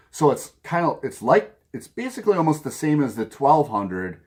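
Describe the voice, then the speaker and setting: A man with a Minnesota accent, very wide pitch swings, and a fairly slow pace, in a very clean recording with a silent background. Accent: Minnesota accent, noticeable. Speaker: vinyl record collector video host. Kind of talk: casual vlog talk to camera. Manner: casual, with frequent fillers and repetitions.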